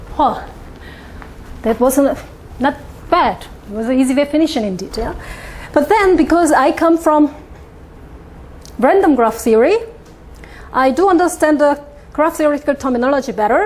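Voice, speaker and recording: A woman with a Korean accent speaks at a moderate pace and high pitch with lively intonation and long, frequent pauses, noticeable background noise behind her. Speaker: mathematics professor. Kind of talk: lecture. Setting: conference talk with audience. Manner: halting, with many fillers.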